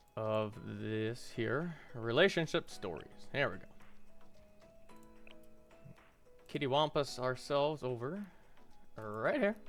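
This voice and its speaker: Over music in the background, a man talks at a very slow pace with lively intonation, leaving long, frequent pauses. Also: medium pitch for a man. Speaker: hobby voice-over narrator. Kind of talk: casual talk to camera. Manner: casual, playful.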